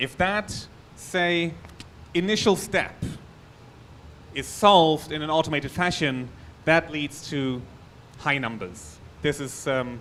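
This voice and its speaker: A bright, sharp tone with a German accent, a fairly slow pace and ordinary pitch variation. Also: man. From Germany. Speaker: security researcher. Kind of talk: conference talk.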